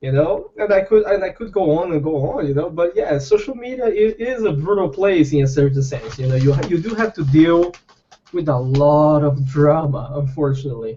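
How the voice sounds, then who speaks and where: With a non-native accent, a man speaks at a moderate pace and with lively intonation. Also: fairly high pitch for a man. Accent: foreign. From Brazil. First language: not English (English is fourth language). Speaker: fishing YouTuber. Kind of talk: casual chat. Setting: video call. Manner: animated.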